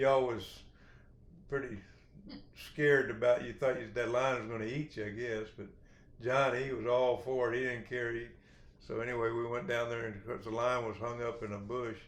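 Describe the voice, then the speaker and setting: Someone with a west Texas accent speaks with fairly even intonation and long, frequent pauses. Room echo is audible. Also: man, medium pitch for a man, moderate pace. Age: 60s. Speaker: rancher. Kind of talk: storytelling.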